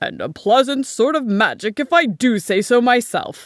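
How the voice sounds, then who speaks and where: A put-on character voice, pitched fairly high and delivered at a moderate pace. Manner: chuckly.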